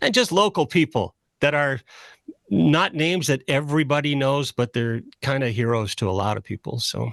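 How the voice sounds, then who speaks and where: An unremarkable speaking voice from a man with a Canadian accent, medium in pitch, with lively intonation, a moderate pace, and a dry, close sound with no echo over a quiet background. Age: 60s. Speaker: radio host. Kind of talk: casual chat.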